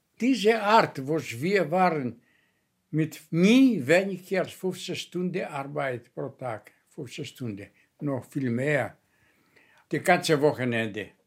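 A man with a Greek accent at a fairly high pitch, very slow pace and big swings in loudness, in a very clean recording with a silent background. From Greece (Kefalonia). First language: Greek (speaking German). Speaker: former guest worker. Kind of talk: personal testimony. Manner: halting.

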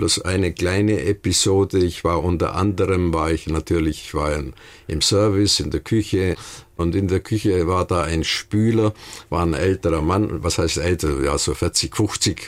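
A man speaks in a very deep, low pitch. He keeps a moderate pace with ordinary pitch variation. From Bavarian Swabia (Memmingen). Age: 80s+. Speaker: retired restaurateur, interviewee. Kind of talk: interview. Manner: halting, many fillers.

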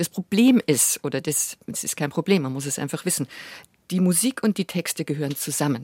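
A woman with an unremarkable speaking voice, fairly low pitch, lively intonation, and moderate pace, in a dry, close sound with no echo. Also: very clean recording, silent background. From Bavaria, Munich. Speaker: chanson singer and actress. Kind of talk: interview conversation.

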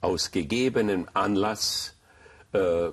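A man speaks in a Hungarian accent against a quiet background. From Hungary, Budapest. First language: Hungarian (speaking German). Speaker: rabbi. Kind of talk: interview.

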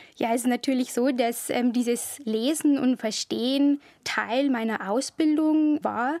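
In a dry, close sound with no echo, a woman speaks fairly slowly in a high voice, with fairly even intonation and very even loudness. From Bavarian Forest, Bavaria. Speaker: historian. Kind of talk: interview. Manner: formal.

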